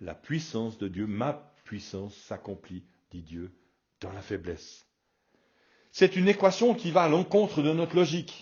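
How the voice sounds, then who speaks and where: Using very wide pitch swings and vocal fry, a man with a fairly high pitch speaks with long, frequent pauses. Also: fairly slow pace, big swings in loudness. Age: 60s. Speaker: pastor. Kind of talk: radio sermon. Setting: radio broadcast.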